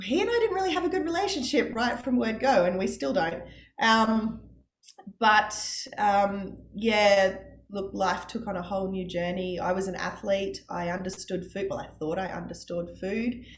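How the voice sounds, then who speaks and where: A somewhat breathy woman with an Australian accent at medium pitch, moderate pace and ordinary pitch variation, with audible room echo. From Australia, Brisbane. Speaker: parent of child with type 1 diabetes. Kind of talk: interview testimony.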